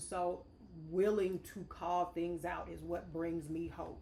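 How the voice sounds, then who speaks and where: A woman speaks very slowly in an American accent, her pitch fairly low. Room echo is audible. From St. Louis area, Missouri. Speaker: state legislator. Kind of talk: podcast discussion.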